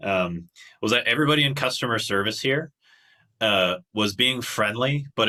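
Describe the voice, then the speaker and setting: With a normal speaking voice at medium pitch, a man talks at a fairly quick pace with ordinary pitch variation. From Canada, Toronto. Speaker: qigong instructor. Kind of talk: casual interview chat.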